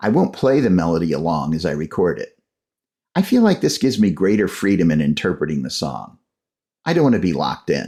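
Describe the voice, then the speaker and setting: A man with a very deep, low voice, dark and mellow in tone, talks at a fairly quick pace with lively intonation and some vocal fry. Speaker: songwriter and podcast host. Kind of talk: scripted tutorial narration.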